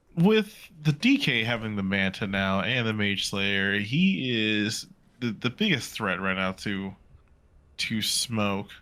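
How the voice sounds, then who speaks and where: Very slow in pace, a man speaks with a fairly low pitch and a bright, sharp tone. His pitch varies in an ordinary way, and the recording is very clean with a silent background. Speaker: esports caster. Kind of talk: live commentary. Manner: quiet, talking little.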